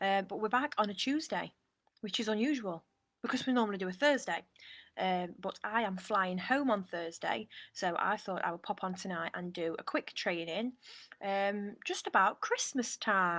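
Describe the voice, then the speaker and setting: With a British accent, the speaker shows ordinary pitch variation. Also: woman, medium pitch for a woman, moderate pace. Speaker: online coach. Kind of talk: live stream talk. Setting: outdoors on a balcony. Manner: quiet.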